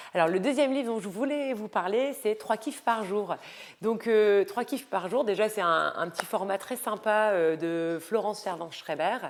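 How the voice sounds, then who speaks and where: A woman talks fairly slowly at a fairly high pitch, her pitch varying in an ordinary way. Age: 30s. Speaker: lifestyle and style coach vlogger. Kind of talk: casual vlog book recommendations. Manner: hesitant, many fillers.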